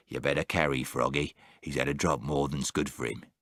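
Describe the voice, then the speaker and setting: In a put-on character voice, a man talks fairly quickly with a raspy, very deep, low pitch. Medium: read story. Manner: roaring, hearty.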